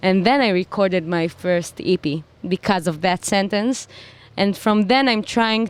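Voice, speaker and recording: Someone with an Israeli accent speaks at a fairly slow pace with ordinary pitch variation, in a dry, close sound with no echo. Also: woman. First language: Hebrew. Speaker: singer-songwriter. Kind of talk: interview.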